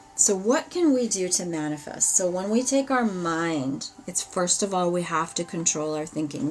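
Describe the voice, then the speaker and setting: Over noticeable background noise, a woman with a fairly low pitch speaks with lively intonation. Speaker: tarot reader. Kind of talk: live ritual and tarot stream. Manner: animated.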